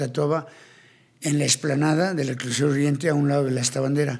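A man talks at a moderate pace. His intonation stays fairly even over a quiet background. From Colombia, Cartagena; Colombia. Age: 60s. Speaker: tattoo artist and ex-convict; podcast guest. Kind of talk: interview storytelling. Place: studio. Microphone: studio mic.

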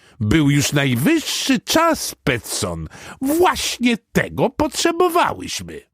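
Putting on a character voice at a high pitch, a man speaks at a fairly slow pace. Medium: read story. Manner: clucking, excited.

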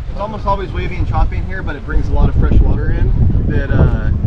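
The speech races at a very fast pace. Loud background noise fills the recording. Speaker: boat crew guide. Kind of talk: tour guide briefing. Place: boat.

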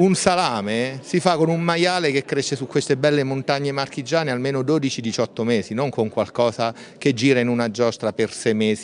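At a fairly quick pace, a man speaks with lively intonation over light background noise. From Marche, Italy. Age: middle-aged. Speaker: doctor and nutrition speaker; speaker. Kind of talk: interview. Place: hall. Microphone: handheld.

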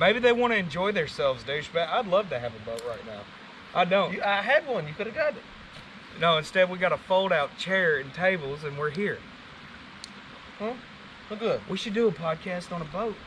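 Amid light background noise, a man with a high pitch speaks at a fairly quick pace, his pitch swinging very widely and his loudness rising and falling sharply. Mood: joking, crude banter. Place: waterside.

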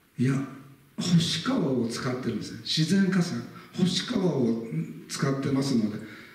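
A man's voice at a moderate pace, with very wide pitch swings, big swings in loudness and audible room echo. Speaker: local history lecturer. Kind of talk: lecture. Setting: lecture hall with live audience. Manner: formal, frequent filler words. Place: hall. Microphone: camera far.

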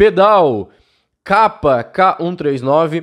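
Against a quiet background, a man talks with lively intonation. His voice is fairly high. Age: 20s. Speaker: cycling YouTuber. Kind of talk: casual video review of viewer bikes. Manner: animated. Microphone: studio mic.

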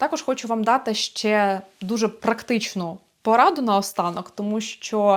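In a very clean recording with a silent background, a woman speaks fairly slowly at a fairly high pitch, with ordinary pitch variation and an ordinary speaking voice. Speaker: vocal teacher. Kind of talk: vlog monologue. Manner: warm and encouraging.

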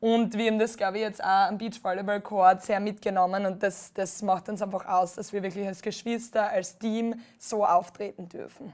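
A woman with a Styrian accent speaks at medium pitch and a moderate pace with monotone, flat intonation and hardly any pauses, in a very clean recording with a silent background. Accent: Styrian Austrian dialect. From Austria, Styria. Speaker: beach volleyball player. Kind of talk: TV interview.

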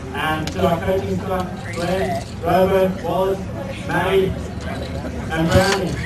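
Loud background noise and audible room echo surround the recording. A man talks with ordinary pitch variation. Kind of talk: victory speech. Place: stadium. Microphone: pa.

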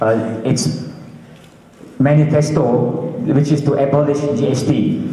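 A man speaks very slowly with a Malaysian accent. His intonation stays fairly even, and room echo is audible. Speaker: panel moderator. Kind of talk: moderated panel. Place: hall.

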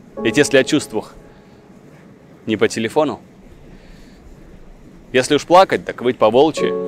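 Clear music plays behind a man speaking at a medium pitch. The sound is dry with no echo. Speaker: actor. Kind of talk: poetry reading. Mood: warm, wistful, intimate. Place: street. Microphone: lapel.

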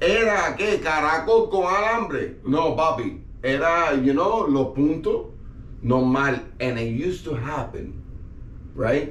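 Audible room echo surrounds a man talking at a fairly slow pace. His pitch is fairly high. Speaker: podcast guest. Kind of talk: casual chat. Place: studio.

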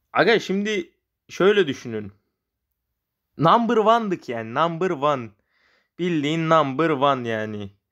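Against a quiet background, a man with a fairly high pitch and very wide pitch swings talks at a fairly slow pace with long, frequent pauses. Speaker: gaming YouTuber. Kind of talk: casual gaming commentary.

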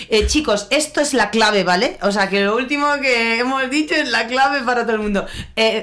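A woman speaks in an Andalusian accent at a moderate pace. Her pitch is fairly high. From Andalusia, Spain. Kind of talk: live interviews with students. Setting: in-person event with audience.

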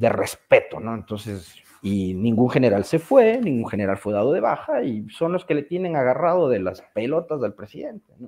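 A man's pitch swings very widely as he talks at a moderate speed. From Ecuador. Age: 40s. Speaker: journalist. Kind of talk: casual chat. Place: home room. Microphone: video call.

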